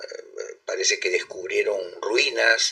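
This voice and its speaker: Extremely high in pitch, a man's raised, projected voice has a bright, sharp tone and monotone, flat intonation. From Peru, Callao. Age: 60s. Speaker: ufologist. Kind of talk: interview. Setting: live stream.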